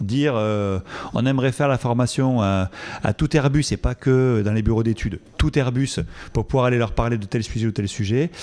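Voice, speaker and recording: With a Toulouse accent, a man talks at a medium pitch with ordinary pitch variation. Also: moderate pace. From southern France, Toulouse. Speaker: epidemiologist, research director. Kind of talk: conference Q&A. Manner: hesitant, many fillers.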